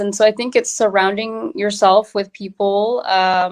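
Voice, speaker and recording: The speaker keeps a moderate pace. The intonation stays fairly even. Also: woman. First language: Tamil. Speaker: entrepreneur. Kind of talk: interview. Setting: live online interview.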